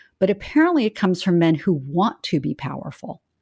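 A normal speaking voice from a woman, fairly low in pitch, lively in intonation and moderate in pace, on a very clean recording with a silent background. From US South. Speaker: investment firm founder and CEO. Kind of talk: interview.

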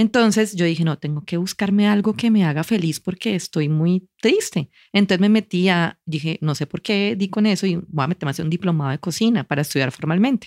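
An unremarkable speaking voice from a woman, fairly low in pitch, at a fairly quick pace with ordinary pitch variation and hardly any pauses, on a very clean recording with a silent background. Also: dry, close sound with no echo. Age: 40s. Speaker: advertiser and cooking teacher. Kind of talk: casual interview.

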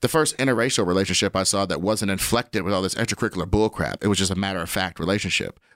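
A fairly low-pitched man with an American accent is heard on a very clean recording with a silent background and a dry, close sound with no echo. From Kansas City, US Midwest. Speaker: comedian. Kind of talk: casual chat.

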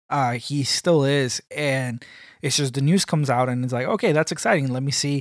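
On a very clean recording with a silent background, a man talks at a moderate pace. He has a plain, everyday voice with a fairly high pitch and fairly even intonation. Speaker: podcast co-host. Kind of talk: casual chat. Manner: joking.

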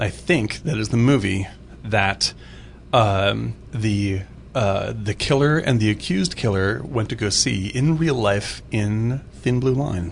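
A man's fairly low, somewhat breathy voice at a very slow pace, with lively intonation. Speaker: film podcast co-host. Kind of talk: casual chat. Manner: animated.

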